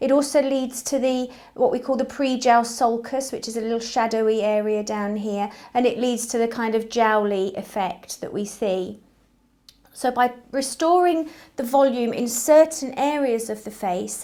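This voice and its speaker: Moderate-paced talking from a woman with a high pitch and ordinary pitch variation. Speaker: nurse. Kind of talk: informational talk to camera. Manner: conversational, slightly hesitant.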